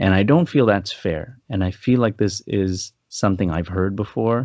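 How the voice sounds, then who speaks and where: Using an ordinary speaking voice, a man speaks at a moderate pace in a fairly low pitch with ordinary pitch variation. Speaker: film review podcast co-host. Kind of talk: casual podcast film review chat.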